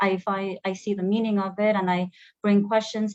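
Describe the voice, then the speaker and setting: A woman speaks in a Korean accent. Her pace is moderate. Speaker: program alumna, human resources officer. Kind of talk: online panel interview. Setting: online video stream. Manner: halting, many fillers and repetitions.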